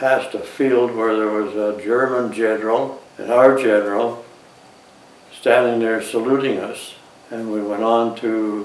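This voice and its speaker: Amid noticeable background noise, the speech comes at a fairly slow pace in a monotone, flat way. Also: man. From Canada. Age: 80s+. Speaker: war veteran. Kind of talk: interview answer.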